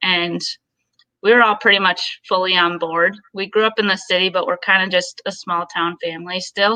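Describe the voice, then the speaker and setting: A woman with an Upper Midwest accent, medium pitch and a bright, sharp tone, talking at a fairly quick pace in a dry, close sound with no echo. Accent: Upper Midwest American. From Minnesota, Twin Cities. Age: 20s. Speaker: golf director. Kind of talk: casual interview.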